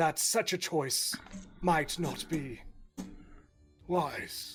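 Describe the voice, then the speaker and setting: A man's robotic, put-on character voice, high in pitch and at a very slow pace, with faint music in the background. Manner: formal, courtly.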